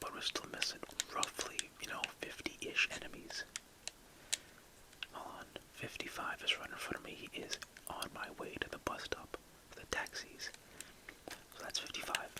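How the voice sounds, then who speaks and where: Whispering at a moderate pace with long, frequent pauses comes through noticeable background noise. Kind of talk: casual gameplay commentary to camera, ASMR gaming video. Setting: indoors, recording gameplay commentary.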